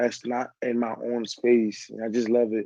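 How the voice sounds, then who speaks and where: In a Nigerian accent, the speaker's dark, mellow tone comes through with a dry, close sound and no echo. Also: man. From Nigeria, Lagos. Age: 20s. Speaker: dancer, actor and model. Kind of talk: interview.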